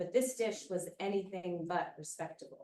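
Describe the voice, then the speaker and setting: A loud woman with an American accent, at a moderate pace. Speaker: poet. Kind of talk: poetry reading.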